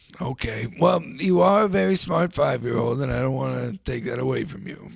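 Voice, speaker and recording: A man's raspy, put-on character voice at medium pitch and a fairly quick pace. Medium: comedy sketch. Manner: earnest, folksy.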